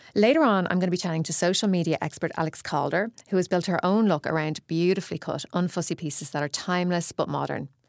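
Recorded dry and close with no echo and a silent background, a woman talks very fast with an Irish accent, her fairly low pitch showing ordinary variation. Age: 40s. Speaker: fashion director and podcast host. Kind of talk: casual chat and interview.

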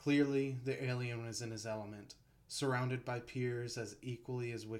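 Plain reading aloud runs with fairly even intonation.

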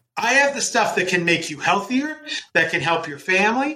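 Raised and projected, a man's voice has a bright, sharp tone and very wide pitch swings. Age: 40s. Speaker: epidemiologist and health foundation president. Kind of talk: interview. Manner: halting, repeats words.

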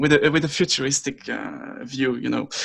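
A man speaks at a fairly slow pace. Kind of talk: casual interview chat. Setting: video call across time zones. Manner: hesitant, many fillers.

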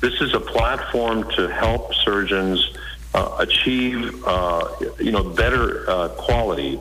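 Very slow male speech with an American accent and very even loudness, with audible room echo and noticeable background noise. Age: 60s. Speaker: surgeon. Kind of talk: interview.

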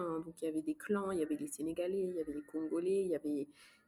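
In an ordinary speaking voice, a woman talks at a fairly low pitch with fairly even intonation. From Luxembourg. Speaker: neuropsychologist. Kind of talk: casual interview.

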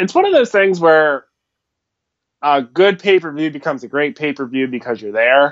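A man with an American accent has an ordinary speaking voice at a fairly high pitch. He talks at a moderate pace with lively intonation. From US, Philadelphia. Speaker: wrestling fan and podcast supporter. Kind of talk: casual chat. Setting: Skype call.

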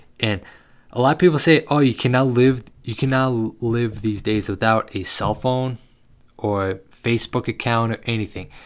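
The delivery moves at a moderate pace. Pitch varies in an ordinary way. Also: man, medium pitch for a man. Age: 20s. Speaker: podcast host. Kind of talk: casual monologue. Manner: halting, rambling self-corrections.

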